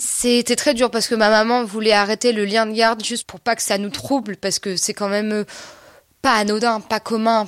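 A woman talks with a fairly high pitch and monotone, flat intonation. The sound is dry and close, with no echo. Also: moderate pace. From rural France. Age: 20s. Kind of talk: testimony. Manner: halting.

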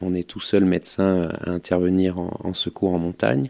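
In a very deep, low voice with a dark, mellow tone, a man speaks at a moderate pace with fairly even intonation and a dry, close sound with no echo. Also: very clean recording, silent background. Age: 30s. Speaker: mountain rescue doctor. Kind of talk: testimony. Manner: halting, with repetitions and hesitations.

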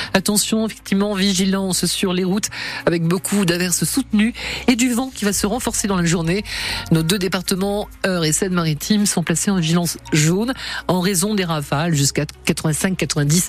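With music in the background, a woman at a medium pitch speaks at a moderate pace with ordinary pitch variation and very even loudness. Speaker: radio host. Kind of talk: radio show hosting.

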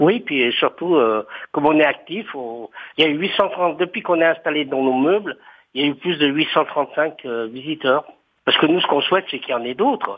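Here a man with a plain, everyday voice speaks at a fairly high pitch. His pace is moderate, with ordinary pitch variation. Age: 60s. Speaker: retired civil servant, housing cooperative resident. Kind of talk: interview.

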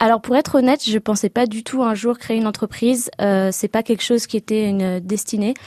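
Recorded with a dry, close sound and no echo, a woman uses a fairly high pitch, a dark, mellow tone and fairly even intonation. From France, Seine-Saint-Denis. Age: 20s. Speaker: start-up founder. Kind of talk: radio interview. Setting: radio studio. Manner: hesitant, many fillers.

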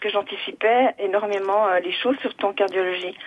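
A woman's voice with ordinary pitch variation. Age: 60s. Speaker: retired nurse. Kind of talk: call-in testimony. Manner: halting.

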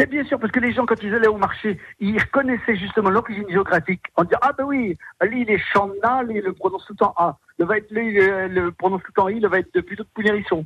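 A man's high-pitched voice at a fairly quick pace, with ordinary pitch variation and a dry, close sound with no echo. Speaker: performer and author. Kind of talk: radio interview. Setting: phone call. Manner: animated.

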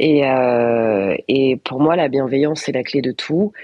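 Her pitch is very deep and low for a woman. The pitch variation is ordinary. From northern France (Valenciennes, Nord). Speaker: TV presenter and journalist. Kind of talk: radio interview.

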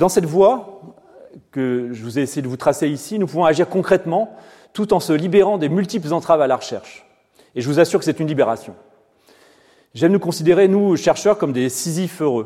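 Speaking at a fairly quick pace with long, frequent pauses, a man uses a high pitch, lively intonation, and a dark, mellow tone, recorded very cleanly against a silent background. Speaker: physicist and professor. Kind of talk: inaugural lecture. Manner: fast.

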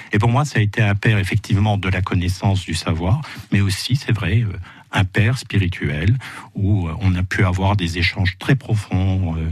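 A somewhat breathy male voice, fairly slow and very deep and low in pitch. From Moselle, France. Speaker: ecologist and author. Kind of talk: radio interview. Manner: hesitant, many fillers.

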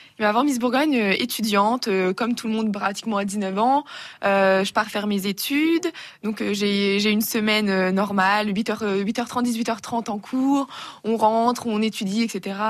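Pitched fairly high, a woman speaks at a fairly slow pace. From Burgundy, France (Auxerre). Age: young. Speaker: beauty pageant winner. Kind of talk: radio interview.

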